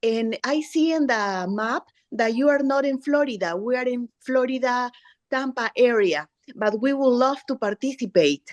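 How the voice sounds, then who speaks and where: A woman with a Spanish accent talks at a moderate pace in a high pitch with ordinary pitch variation. The sound is dry and close with no echo, over a quiet background. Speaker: parent. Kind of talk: audience question.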